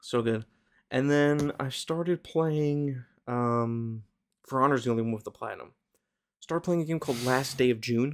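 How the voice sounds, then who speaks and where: A quiet man at a moderate pace, with ordinary pitch variation and long, frequent pauses. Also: medium pitch for a man. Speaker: podcast co-host. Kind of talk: casual chat. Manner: hushed.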